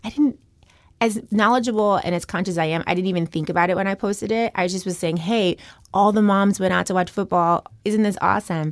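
Speaking with an American accent, a woman talks at a very fast pace with fairly even intonation. The recording is very clean, with a silent background. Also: medium pitch for a woman. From US South. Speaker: business executive. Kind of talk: interview.

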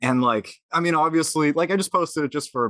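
A man with an American accent, bright and sharp in tone, at a fairly quick pace, against a quiet background, the sound dry and close with no echo. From Massachusetts. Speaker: podcast host. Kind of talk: casual interview chat. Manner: casual, enthusiastic.

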